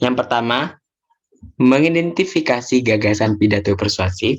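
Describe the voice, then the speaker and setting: In a normal speaking voice, a man talks at a medium pitch and a moderate pace with ordinary pitch variation. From Indonesia, Bondowoso, East Java. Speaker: teacher. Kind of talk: lesson.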